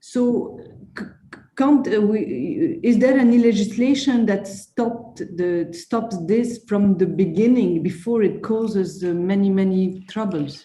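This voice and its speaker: A woman's somewhat breathy, dark, mellow voice with a French accent, medium pitch, lively intonation, and fairly slow pace, in audible room echo. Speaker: conference attendee asking a question. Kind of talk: Q&A question at online conference. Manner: halting, many fillers and repetitions.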